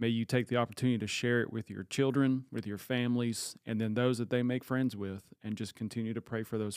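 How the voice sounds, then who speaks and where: On a very clean recording with a silent background, a man at a medium pitch talks in an animated tone at a fairly quick pace. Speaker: church pastor and podcast host. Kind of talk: casual panel discussion. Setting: studio with several people in the room. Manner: animated, jokey.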